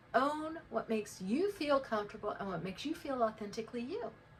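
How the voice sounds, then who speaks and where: A woman talks fairly quickly while noticeable background noise carries on. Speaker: life coach. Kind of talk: casual talk to camera.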